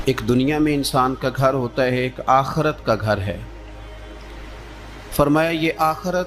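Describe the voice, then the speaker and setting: Music plays in the background as a man speaks at a medium pitch with ordinary pitch variation. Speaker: Islamic preacher giving a sermon. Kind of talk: religious sermon (bayan) to an audience.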